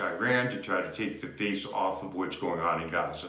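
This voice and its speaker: A man talks at a fairly quick pace with fairly even intonation. The recording has audible room echo and noticeable background noise. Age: 70s. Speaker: activist. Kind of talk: political commentary. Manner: impassioned.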